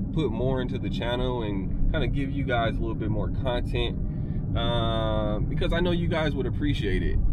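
A man is heard over loud background noise. The sound itself is dry, with no echo. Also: moderate pace. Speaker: vlogger. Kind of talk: casual vlog chat. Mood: relaxed, candid. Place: car. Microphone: phone near.

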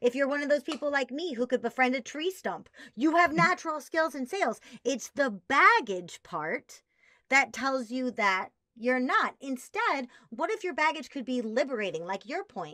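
A woman with an American accent speaks in a raised, projected voice at a high pitch and a moderate pace. Her tone is animated, her pitch swings very wide, and the background is quiet. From US Midwest, Chicago. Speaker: sales trainer. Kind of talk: interview. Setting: video call. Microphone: webcam.

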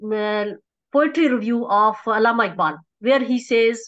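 In a Pakistani accent, a woman speaks at a fairly slow pace with a fairly high pitch. Her pitch variation is ordinary, and the background is quiet. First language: Urdu. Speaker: academic researcher; conference presenter. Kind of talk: conference presentation. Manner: halting, many fillers. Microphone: video call.

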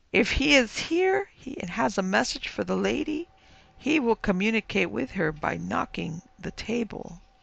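This is a put-on character voice, shrill and at a middle pitch. The pace is moderate. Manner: eerie.

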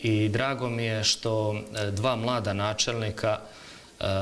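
Fairly slow and fairly low-pitched, a man delivers his words. His intonation stays monotone and flat. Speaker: government official; guest. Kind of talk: TV interview. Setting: studio. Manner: formal. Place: studio. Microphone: lapel.

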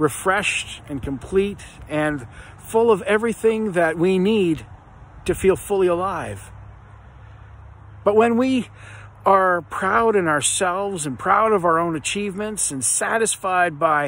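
A man with a high pitch speaks at a fairly slow pace, leaving long, frequent pauses. The sound is dry with no echo. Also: ordinary pitch variation. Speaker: speaker. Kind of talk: devotional reflection. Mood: earnest, reflective. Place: garden. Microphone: phone near.

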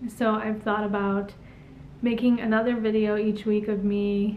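Light background noise sits under a woman's fairly high voice. She moves at a fairly slow pace with ordinary pitch variation. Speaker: YouTube vlogger. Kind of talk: casual vlog monologue. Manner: casual, conversational. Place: home room. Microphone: camera far.

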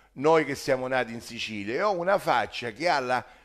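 A man is speaking. His pace is moderate, and the background is quiet. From Sicily. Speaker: social commentator; political commentator. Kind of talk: monologue. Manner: animated. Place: kitchen.

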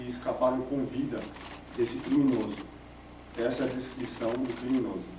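With music in the background, a man talks at a moderate pace in a monotone, flat intonation. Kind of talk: press statement. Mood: serious, formal, slightly hesitant. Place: office.

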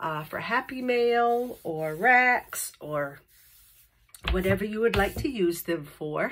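A woman's very slow speech with very wide pitch swings. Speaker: paper craft tutorial host. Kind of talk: tutorial. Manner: casual, with fillers. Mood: cheerful, friendly.

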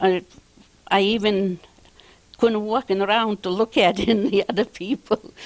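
A woman with a Lithuanian accent at a fairly slow pace, with fairly even intonation, very even loudness, and long, frequent pauses. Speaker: postwar immigrant. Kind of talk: interview. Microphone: handheld.

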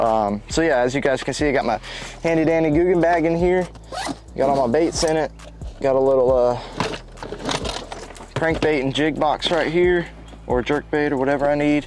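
With music in the background and a dry sound with no echo, a man talks at a moderate pace with ordinary pitch variation and long, frequent pauses. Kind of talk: casual vlog chat. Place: open country.

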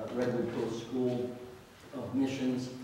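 Strong room echo surrounds a man speaking at a medium pitch. Light background noise sits underneath. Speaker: pastor. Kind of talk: church announcements and introduction. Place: church.

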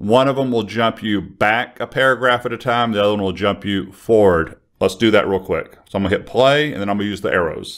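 A man talks at a fairly quick pace with a fairly bright tone. His pitch is fairly low. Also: ordinary pitch variation.

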